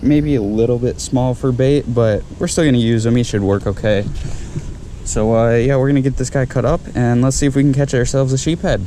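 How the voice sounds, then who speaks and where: Quiet and very even in loudness, the voice moves at a fairly quick pace with fairly even intonation over noticeable background noise. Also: man. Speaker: fishing vlogger. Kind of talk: vlog narration. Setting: outdoors at a beach channel. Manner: casual.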